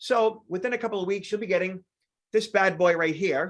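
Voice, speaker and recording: With an American accent, a man speaks at a high pitch and with ordinary pitch variation. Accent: Boston accent, stronger when tired. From Boston, Massachusetts. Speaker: security trainer. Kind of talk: online training presentation. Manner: many filler words (uh, um).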